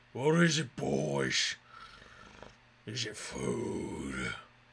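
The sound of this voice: In a put-on character voice, a man swings his fairly low pitch very widely.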